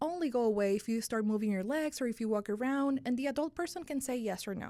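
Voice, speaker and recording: On a very clean recording with a silent background, a woman talks at a fairly quick pace in a Spanish accent. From Dominican Republic. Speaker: sleep medicine physician. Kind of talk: podcast interview.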